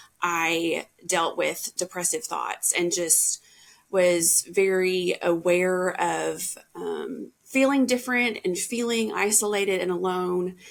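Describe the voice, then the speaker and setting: Here a woman speaks with a Southern US accent at medium pitch. Her pace is very slow, and her pitch varies in an ordinary way. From US South, Tennessee. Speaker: podcast guest sharing mental health story. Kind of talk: personal testimony in interview.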